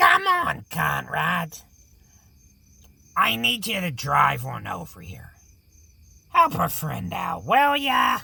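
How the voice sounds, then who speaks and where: Raspy and very slow, a man uses a put-on character voice. He leaves long, frequent pauses. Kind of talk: horror radio show hosting. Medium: audio drama.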